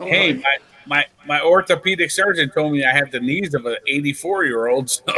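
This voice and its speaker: A man with an ordinary speaking voice, fairly high in pitch with ordinary pitch variation, at a fairly quick pace. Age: 40s. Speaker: podcast guest. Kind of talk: casual chat.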